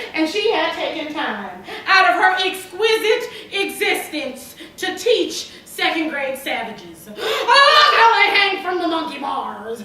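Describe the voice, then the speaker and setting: A woman with an extremely high pitch speaks at a very slow pace in a raised, projected voice. Her pitch swings very widely, and background noise is noticeable. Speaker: poet. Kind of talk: slam poetry performance.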